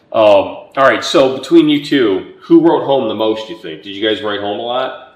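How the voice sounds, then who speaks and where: Over noticeable background noise, a man with a medium pitch speaks at a moderate pace, his intonation lively and his loudness swinging widely. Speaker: history channel host, interviewer. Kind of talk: interview questions.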